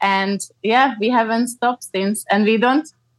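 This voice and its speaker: The recording is dry and close, with no echo. A woman with a Slovak accent speaks in a high voice with ordinary pitch variation. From Slovakia. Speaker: ecologist and cycle tourer. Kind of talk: interview.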